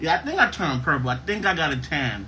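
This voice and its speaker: A man's voice comes through with audible room echo. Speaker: podcast host. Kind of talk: casual chat. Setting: live stream. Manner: loud.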